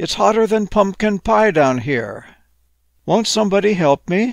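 In a put-on character voice, a man speaks high-pitched with vocal fry and lively intonation at a fairly slow pace, the sound dry and close with no echo.

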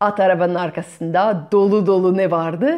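A woman speaks at a medium pitch. Her tone is slightly mellow.

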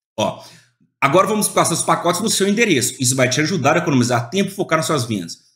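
The intonation is lively. There is audible room echo against a quiet background. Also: man. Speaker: e-commerce YouTuber and online seller; online seller explaining a shipping service. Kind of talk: screen-share tutorial. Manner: casual, filler-heavy. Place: home room.

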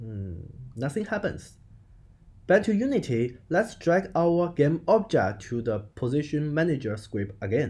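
On a very clean recording with a silent background, a man speaks fairly slowly at a fairly high pitch, his dark, mellow tone somewhat breathy and his pitch swinging very widely. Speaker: game development tutorial creator. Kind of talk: tutorial.

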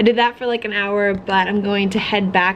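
A woman speaks over light background noise. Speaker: craft vlogger. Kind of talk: casual vlog chat. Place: home room. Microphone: phone near.

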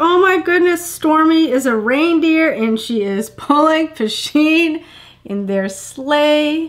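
Speaking at a very slow pace, a woman's extremely high voice makes very wide pitch swings. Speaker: unboxing vlogger. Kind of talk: casual unboxing video. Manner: excited, gushing. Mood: excited, delighted. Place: home room. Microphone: camera far.

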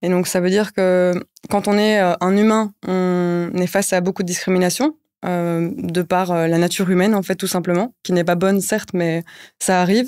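Over a quiet background, a woman talks with very even loudness and fairly even intonation. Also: moderate pace. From Brussels, Belgium. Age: 20s. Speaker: NGO project officer; guest. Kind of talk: interview. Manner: hesitant, many fillers. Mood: calm, earnest. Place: studio. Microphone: studio mic.

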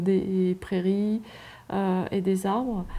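A woman speaks at a slow pace in a dark, mellow tone.

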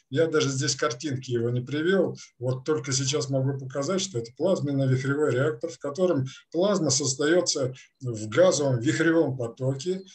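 A man speaks at a moderate pace with a fairly high pitch. His voice is somewhat breathy, with ordinary pitch variation. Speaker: experimental researcher. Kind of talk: scientific presentation. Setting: video call. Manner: halting. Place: home room. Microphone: video call.

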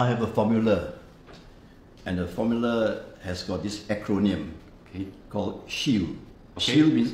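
Over light background noise and audible room echo, a man speaks at a fairly low pitch with ordinary pitch variation. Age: 70s. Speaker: retiree. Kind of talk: interview answer. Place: office.

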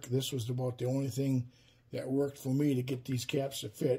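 A man with a Wisconsin accent, somewhat breathy, at a moderate pace. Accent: Upper Midwest (Wisconsin) American. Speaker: woodworking YouTuber. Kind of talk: tutorial. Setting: workshop. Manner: casual, many fillers (um, uh). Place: workshop.

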